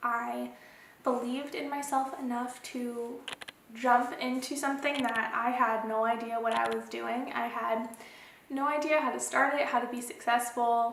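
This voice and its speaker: At a moderate pace, a woman speaks high in pitch with monotone, flat intonation, amid noticeable background noise and audible room echo. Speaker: photographer and small business owner. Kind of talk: casual vlog talk to camera. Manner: casual, filler-heavy.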